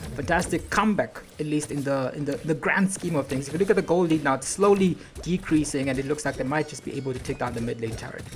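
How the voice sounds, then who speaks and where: A woman talks at a very fast pace with lively intonation, her pitch very deep and low. Noticeable background noise runs underneath. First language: not English. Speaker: esports caster. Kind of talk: live commentary. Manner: animated.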